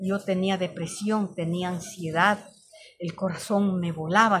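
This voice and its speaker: Against noticeable background noise, a woman at medium pitch speaks at a fairly slow pace with monotone, flat intonation. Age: 60s. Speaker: storyteller. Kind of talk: personal testimony. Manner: halting.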